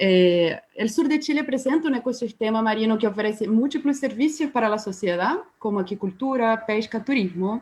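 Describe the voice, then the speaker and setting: This woman's somewhat breathy, fairly high voice runs on with hardly any pauses. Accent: Brazilian. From Brazil. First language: Portuguese (speaking Spanish). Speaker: biologist. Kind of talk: webinar presentation. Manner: slow; halting.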